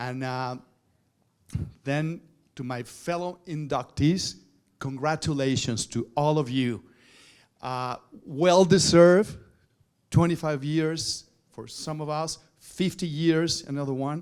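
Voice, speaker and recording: The speaker has a Spanish accent and talks at a very slow pace with long, frequent pauses. Loudness swings widely, with ordinary pitch variation. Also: man, fairly high pitch for a man. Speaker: TV journalist and presenter. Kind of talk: award acceptance speech. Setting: stage at awards luncheon. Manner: halting.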